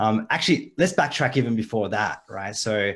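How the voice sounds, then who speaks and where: A man with an energetic tone, talking at a fairly quick pace. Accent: slight Australian. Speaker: online marketing coach. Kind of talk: live video call chat. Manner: casual, energetic.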